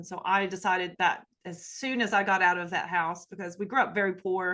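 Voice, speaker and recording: A woman at medium pitch, fairly quick and flat in a monotone, over a quiet background. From US South, Appalachia. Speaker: sociology professor. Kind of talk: podcast interview.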